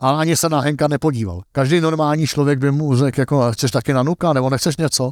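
At a very fast pace with hardly any pauses, a man talks at a fairly high pitch with ordinary pitch variation, in a dry, close sound with no echo. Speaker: golf coach and analyst. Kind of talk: interview.

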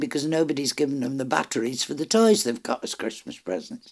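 A woman with a very deep, low pitch speaks at a fairly quick pace. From Ireland. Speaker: book reviewer. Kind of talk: casual chat.

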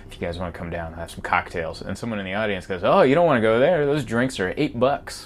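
With noticeable background noise behind him, a man speaks very fast with hardly any pauses. His medium-pitched voice makes very wide pitch swings and big swings in loudness. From US, moved from Hungary at age four. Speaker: stand-up comedian. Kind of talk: casual chat.

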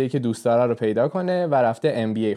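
A man's dark, mellow tone stands out against a quiet background. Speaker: podcast host. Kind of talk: casual chat.

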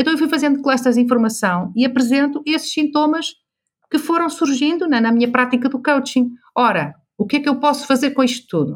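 A woman with a high pitch speaks at a fairly quick pace, her loudness very even. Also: ordinary pitch variation. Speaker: business coach. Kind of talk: interview. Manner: animated.

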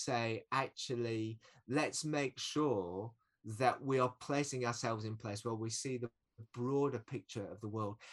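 A man's medium-pitched, ordinary speaking voice at a fairly slow pace, with ordinary pitch variation, big swings in loudness and a dry, close sound with no echo. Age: 40s. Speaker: anti-poverty community worker. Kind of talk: casual interview chat.

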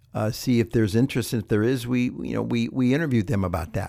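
With ordinary pitch variation, a man talks in a medium pitch. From US Midwest, Ohio. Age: 60s. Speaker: organic produce business owner. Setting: studio. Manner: talkative, people person.

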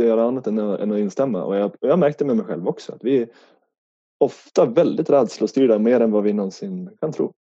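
Speech moves at a fairly quick rate. Its intonation is lively. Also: man. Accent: slight northern Swedish. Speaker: life coach. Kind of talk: podcast interview.

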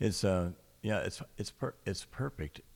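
A man speaks fairly slowly in a very clean recording with a silent background. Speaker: radio host. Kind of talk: live radio poetry show, casual chat. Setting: radio studio, live broadcast. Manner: hesitant, filler-heavy.

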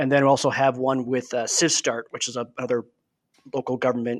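Delivered at a fairly quick pace, the speech carries an Upper Midwest accent and a flat, monotone intonation. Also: man. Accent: Upper Midwest American. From Wisconsin, Milwaukee area. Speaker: deputy city manager and Army veteran. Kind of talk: casual chat.

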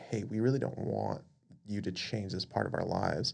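A man with an American accent, fairly low-pitched with vocal fry, at a fairly quick pace and with lively intonation. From Las Vegas, Nevada. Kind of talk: casual faith discussion.

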